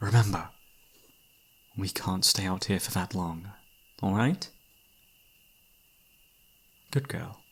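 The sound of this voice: Slowly and with long, frequent pauses, a man puts on a low-pitched character voice with a slightly husky edge. His pitch varies in an ordinary way.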